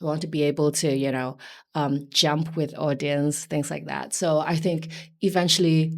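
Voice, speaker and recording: A woman with a very deep, low pitch at a fairly slow pace, ordinary pitch variation, and a very clean recording over a silent background. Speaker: singer in indie pop duo. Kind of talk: interview.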